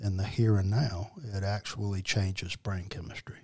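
Somewhat breathy and fairly low-pitched, a man with an American accent speaks at a fairly slow pace with fairly even intonation, in a very clean recording with a silent background. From New Orleans, Louisiana. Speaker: addiction therapist in long recovery. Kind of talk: casual interview testimony.

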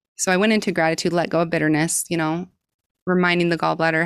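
On a very clean recording with a silent background, a woman with a Utah accent speaks in a fairly low, monotone voice with flat intonation. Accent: American, Utah. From US, southern Utah. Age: 30s. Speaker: breath work coach. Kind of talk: interview.

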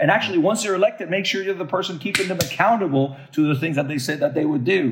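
A man speaks with a Puerto Rican accent, his tone energetic and his intonation lively. Noticeable background noise runs underneath. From Puerto Rico. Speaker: pastor and community organizer. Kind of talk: interview conversation.

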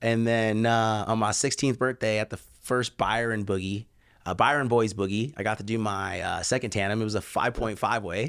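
With an ordinary speaking voice, a man talks at a moderate pace and medium pitch, his intonation fairly even. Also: very clean recording, silent background. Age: 40s. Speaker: skydiver and tunnel coach. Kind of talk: casual chat. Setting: studio.

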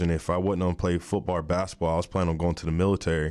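The recording is very clean and the background is silent. A man does the talking. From Oklahoma, small town (Kingfisher). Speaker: former pro football player. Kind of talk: interview testimony.

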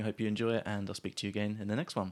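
A man with a southern English accent, fairly low pitch, flat monotone intonation and a very fast pace, on a very clean recording with a silent background. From southern England, small town near Southampton. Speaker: podcast host, English teacher. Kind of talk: podcast intro; casual chat.

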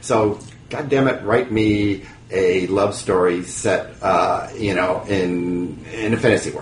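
Very slowly and with fairly even intonation, a man with a fairly low voice speaks over noticeable background noise. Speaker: author and writing teacher. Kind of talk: casual interview.

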